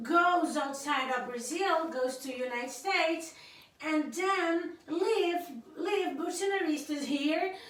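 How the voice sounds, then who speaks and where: Audible room echo surrounds a bright, sharp voice that moves at a very slow pace with ordinary pitch variation. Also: woman. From Cape Verde. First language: Cape Verdean Creole. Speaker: YouTuber's wife, guest speaker. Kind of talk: casual political commentary to camera. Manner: halting, many fillers and repetitions.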